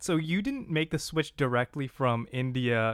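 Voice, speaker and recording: At a moderate pace, a man talks in an unremarkable speaking voice of medium pitch. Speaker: podcast co-host. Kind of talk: interview.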